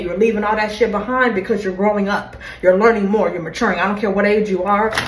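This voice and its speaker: Through noticeable background noise and audible room echo, a woman with a medium pitch speaks at a fairly quick pace in an animated tone. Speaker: tarot reader. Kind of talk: tarot reading. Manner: fast.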